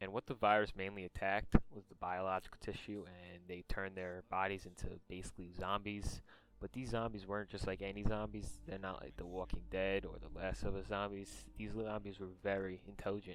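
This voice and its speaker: Delivered in a monotone with flat intonation, the speech shows big swings in loudness. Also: man, fairly low pitch for a man, fairly quick pace, hardly any pauses. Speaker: video game lore YouTuber. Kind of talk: casual lore explainer talk. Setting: gaming headset microphone. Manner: some stutters.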